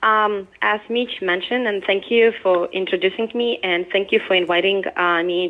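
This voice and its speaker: With a Ukrainian accent, a woman of medium pitch speaks at a fairly slow pace. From Ukraine. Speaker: product manager. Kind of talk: presentation. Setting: remote call played through a speaker.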